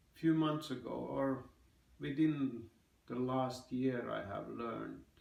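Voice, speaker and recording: The speech moves at a very slow pace. Audible room echo surrounds it. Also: man. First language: Finnish. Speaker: vlogger. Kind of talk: personal vlog monologue. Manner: halting, with fillers.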